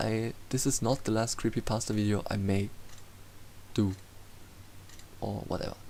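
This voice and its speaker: This man has a German accent and a fairly low pitch with a dark, mellow tone. His intonation stays fairly even at a moderate pace. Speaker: YouTube storyteller. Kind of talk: casual outro. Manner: halting.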